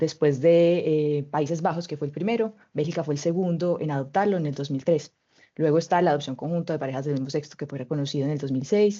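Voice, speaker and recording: At a very fast pace, a woman talks in a Colombian accent with a very deep, low pitch and ordinary pitch variation. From Colombia (Medellín). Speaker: mobility researcher. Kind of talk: webinar presentation.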